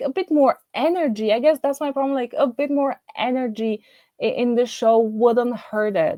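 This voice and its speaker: A woman with a non-native accent and a dark, mellow tone talks at a fairly slow pace in a dry, close sound with no echo. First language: not English. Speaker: YouTube TV show reviewer. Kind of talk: casual video review monologue. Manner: halting, many fillers and restarts.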